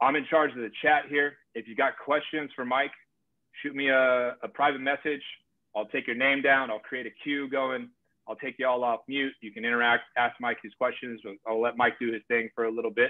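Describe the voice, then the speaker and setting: A man speaks with monotone, flat intonation. The background is quiet. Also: moderate pace. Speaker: sales community host. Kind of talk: casual live video chat. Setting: video call. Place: home room. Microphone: webcam.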